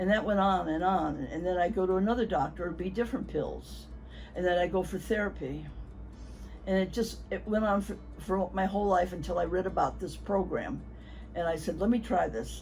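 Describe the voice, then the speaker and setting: Music plays in the background as a woman talks. Her pace is fairly quick, and the room echo is audible. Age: 80s+. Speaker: patient giving testimonial. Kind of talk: testimony.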